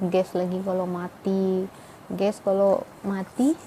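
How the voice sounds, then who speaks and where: A woman speaks at a medium pitch in a monotone, flat intonation, with a Medan accent. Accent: Medan Malay. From Indonesia, Medan (North Sumatra), Malay ethnicity. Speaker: vlogger, Indonesian wife of a Pakistani man. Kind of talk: casual vlog talk. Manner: chatty, with many fillers.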